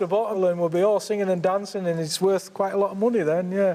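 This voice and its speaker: Over noticeable background noise, a man with a Cumbrian accent talks at a very fast pace and a high pitch. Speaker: slate miner. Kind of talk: casual chat. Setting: underground mine. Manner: animated.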